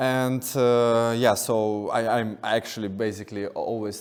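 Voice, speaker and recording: Audible room echo surrounds a man speaking in a Russian accent with monotone, flat intonation. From Russia, Moscow. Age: 30s. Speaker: artist. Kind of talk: lecture. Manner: halting, many repetitions and fillers.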